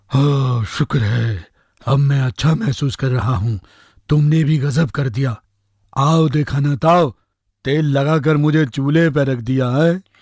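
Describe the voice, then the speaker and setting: A man performs a cartoonish character voice. His pitch sits fairly high. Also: moderate pace. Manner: cheeky, chatty.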